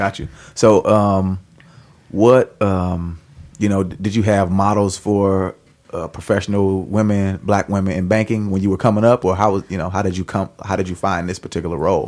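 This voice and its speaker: Fairly low in pitch, a man with a normal speaking voice talks in a fairly even intonation. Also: moderate pace. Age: 30s. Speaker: podcast co-host. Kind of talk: casual chat.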